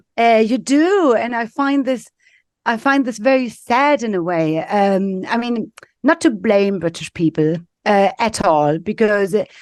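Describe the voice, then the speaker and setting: Against a quiet background, a woman with a German accent speaks at a fairly high pitch with lively intonation. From East Germany, Leipzig. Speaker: business executive. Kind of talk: podcast interview.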